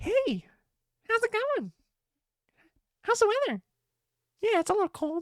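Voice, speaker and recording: A woman's put-on character voice at an extremely high pitch, moderate pace with long, frequent pauses, dry and close with no echo. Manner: comic, chatty small talk with no pauses.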